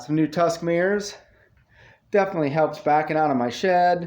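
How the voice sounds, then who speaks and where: This is an unremarkable speaking voice from a man. He keeps a moderate pace and ordinary pitch variation. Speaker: off-road vehicle vlogger. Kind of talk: casual vlog walkthrough.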